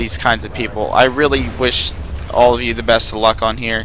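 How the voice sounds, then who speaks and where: A man speaks at a fairly quick pace in a medium pitch. There is noticeable background noise. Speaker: gaming commentator. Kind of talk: gameplay commentary, casual monologue. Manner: casual, rambling with filler words.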